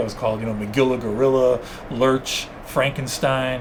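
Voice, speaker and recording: Fairly quick speech from a man with a medium pitch, over noticeable background noise. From New York, Cuban family. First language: Spanish. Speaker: zoo wildlife expert. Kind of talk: interview. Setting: podcast. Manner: animated.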